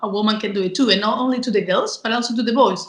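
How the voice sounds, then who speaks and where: Somewhat breathy, a woman talks at a fairly high pitch with a Spanish accent. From Spain. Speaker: communication and marketing professional. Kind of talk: interview. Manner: energetic.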